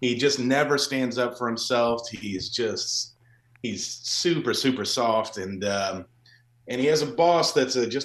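Over a quiet background, a man with an American accent and a medium pitch speaks in a normal speaking voice at a fairly slow pace with ordinary pitch variation. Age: 40s. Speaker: actor, writer and director. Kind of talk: interview.

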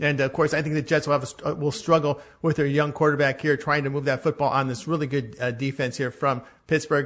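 A man speaks in an unremarkable speaking voice, pitched fairly high for a man. His pace is fairly quick against a quiet background. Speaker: sports betting handicapper. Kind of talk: sports betting picks discussion.

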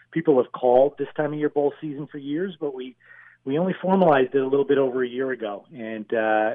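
A man's unremarkable speaking voice, medium in pitch, at a fairly quick pace. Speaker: sports organization executive. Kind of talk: interview.

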